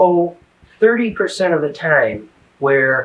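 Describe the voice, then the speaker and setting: His intonation is lively. The man speaks at a fairly slow pace. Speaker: spiritual teacher interviewed about near-death experience. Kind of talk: interview. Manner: halting, many fillers and repeats.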